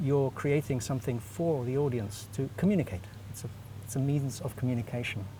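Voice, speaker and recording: A man at medium pitch talks at a fairly quick pace, somewhat breathy, with a dark, mellow tone and ordinary pitch variation. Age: 60s. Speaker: animation director and teacher, festival juror. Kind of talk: interview. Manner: halting, many fillers.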